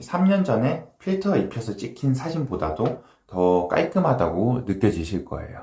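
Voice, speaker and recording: At a moderate pace and medium pitch, a man speaks in a somewhat breathy voice with a dark, mellow tone and very wide pitch swings. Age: 30s. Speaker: dermatologist. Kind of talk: casual talk to camera. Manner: casual, with filler sounds.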